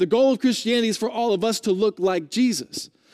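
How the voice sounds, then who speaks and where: Loud and high-pitched, a man talks at a fairly quick pace with lively intonation in a very clean recording with a silent background. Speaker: pastor. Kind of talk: sermon. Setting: church.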